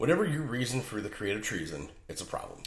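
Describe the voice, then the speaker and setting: A man speaks very fast, with vocal fry. His pitch swings very widely. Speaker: writer and podcaster. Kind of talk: podcast talk. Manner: casual, joking.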